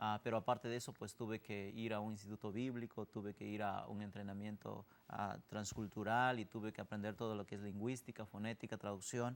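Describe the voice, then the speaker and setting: Fairly quick and with hardly any pauses, a man talks in a monotone, flat intonation. His pitch sits fairly low. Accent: Oaxacan. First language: Zapotec (speaking Spanish). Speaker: missionary. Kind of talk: interview testimony.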